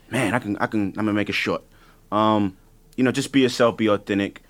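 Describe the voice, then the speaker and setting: Someone talks at a very fast pace with an ordinary amount of pitch variation, in a New York accent. The recording is very clean, with a silent background. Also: man. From the Bronx, New York. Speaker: music producer. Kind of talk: panel discussion. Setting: studio.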